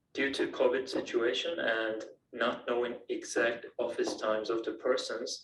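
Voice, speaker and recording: Moving at a fairly slow pace, a man talks with a non-native accent. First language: not English. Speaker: student project presenter. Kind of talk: presentation.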